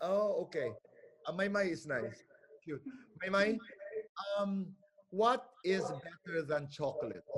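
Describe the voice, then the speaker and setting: Pausing long and often, a man with a high pitch speaks at a fairly slow pace. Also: ordinary pitch variation. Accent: Filipino. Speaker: pageant host. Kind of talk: pageant Q&A hosting.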